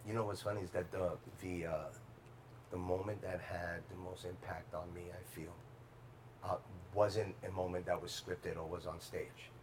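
Amid noticeable background noise, a man with a very deep, low voice speaks in monotone, flat intonation with long, frequent pauses. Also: moderate pace. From Bronx, New York. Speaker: actor. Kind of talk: casual roundtable interview.

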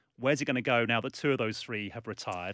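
Over a silent background in a very clean recording, a man with an English accent speaks very fast at a medium pitch in a bright, sharp tone, the sound dry and close with no echo. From England, London. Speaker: sports journalist. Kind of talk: casual chat. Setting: studio.

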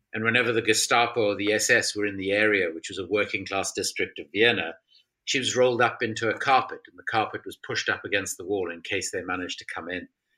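The speaker talks very fast in a South African accent, with big swings in loudness. The recording is very clean, with a silent background. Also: man. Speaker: author and former politician. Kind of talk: interview.

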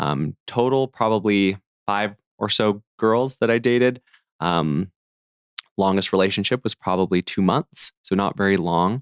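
A man talks at a fairly slow pace and fairly low pitch, with ordinary pitch variation. His loudness stays very even, and the sound is dry and close with no echo. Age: 30s. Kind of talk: interview conversation. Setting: in host's home. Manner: steady, thoughtful.

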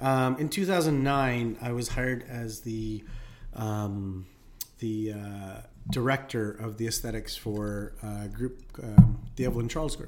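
A man talks fairly slowly at a medium pitch, his loudness swinging widely and his pitch varying in an ordinary way. Music plays behind him and the room echo is audible. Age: 40s. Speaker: nurse and aesthetics clinic owner. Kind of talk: casual interview chat.

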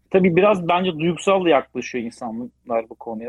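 Using a normal speaking voice, a man moves at a fairly quick pace, his intonation lively. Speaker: automotive business development director. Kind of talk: interview.

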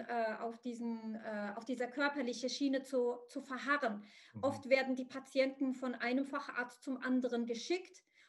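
A woman's high voice with fairly even intonation. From Morocco. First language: Arabic (speaking German). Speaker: psychotherapist. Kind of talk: interview. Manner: halting, many fillers.

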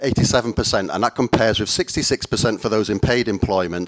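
In an unremarkable speaking voice, a man with fairly low pitch and ordinary pitch variation speaks at a fairly slow pace, in a dry, close sound with no echo. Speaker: panel chair. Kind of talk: panel discussion chairing. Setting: live event with audience.

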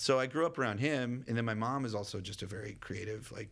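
With ordinary pitch variation, the clip presents an unremarkable speaking voice. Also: man. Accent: American. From Texas, Dallas. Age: 30s. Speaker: actor and comedian. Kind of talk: casual interview.

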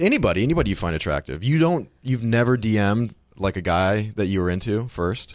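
A man with a plain, everyday voice, lively intonation, a fairly quick pace and hardly any pauses. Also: fairly low pitch for a man. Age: 20s. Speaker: podcast producer and guest. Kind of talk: casual chat.

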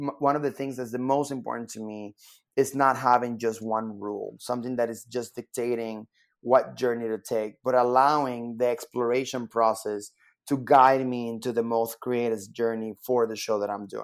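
On a very clean recording with a silent background, a man speaks at a medium pitch and moderate pace in a flat monotone. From Puerto Rico. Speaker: performer, director and choreographer. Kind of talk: interview. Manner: halting, repeats words.

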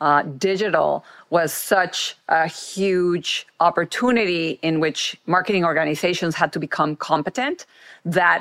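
A woman with a Mexican accent speaks fairly slowly at a fairly low pitch and very even loudness, on a very clean recording with a silent background. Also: ordinary pitch variation. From Mexico. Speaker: former marketing executive and board director. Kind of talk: interview conversation.

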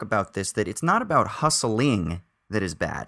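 A man speaks with an American accent, a bright, sharp tone and some vocal fry, his pitch swinging very widely at a moderate pace. The recording is very clean, with a silent background. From United States. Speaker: film podcast co-host. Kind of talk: casual chat.

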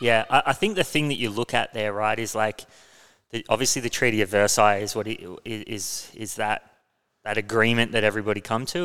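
In a very clean recording with a silent background, a man with an Australian accent speaks at a very fast pace and medium pitch in a bright, sharp tone. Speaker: podcast host. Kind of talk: casual discussion of finance and history. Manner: casual, hesitant with fillers.

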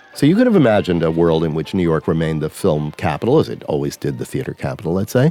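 Over noticeable background noise, a man talks very fast with hardly any pauses, using a very deep, low pitch and ordinary pitch variation. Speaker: film historian and author. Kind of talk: interview.

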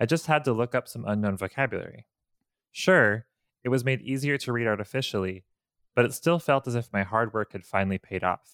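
On a very clean recording with a silent background and a dry, close sound with no echo, a man uses a normal speaking voice at a fairly quick pace, medium in pitch with ordinary pitch variation. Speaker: Japanese learner. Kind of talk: casual chat.

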